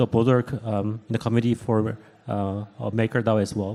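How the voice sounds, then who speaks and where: A man with a Korean accent speaks at a medium pitch in a dark, mellow tone. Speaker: startup co-founder and CEO. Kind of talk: panel discussion. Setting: stage with audience at event.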